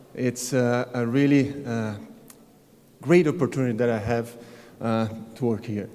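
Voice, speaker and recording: Speaking at a fairly slow pace with a Brazilian accent, a man at medium pitch uses fairly even intonation and a dark, mellow tone, leaving long, frequent pauses. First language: Portuguese. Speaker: tennis coach. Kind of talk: award acceptance speech. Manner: halting.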